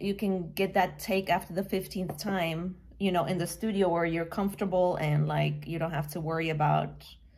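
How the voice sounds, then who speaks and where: Against noticeable background noise, a woman with a fairly low pitch keeps a moderate pace and fairly even intonation, with hardly any pauses. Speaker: musician. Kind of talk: casual chat.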